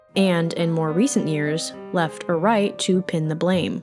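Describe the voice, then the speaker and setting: Over music in the background, a woman speaks at a moderate pace with a fairly low pitch. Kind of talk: documentary-style narration.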